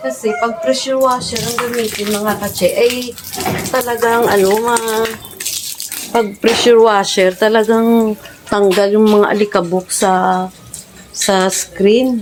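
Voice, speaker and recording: A woman's fairly high voice, ordinary pitch variation, very slow pace, with noticeable background noise. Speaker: vlogger. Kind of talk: casual vlog. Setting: outdoors. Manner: louder to cover background music.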